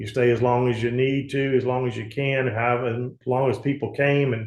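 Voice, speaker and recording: Speaking at a moderate pace with a Southern US accent, the man sounds somewhat breathy at a medium pitch. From US South, Mississippi Gulf Coast. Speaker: politician and insurance agent. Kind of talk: interview. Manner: halting, many fillers.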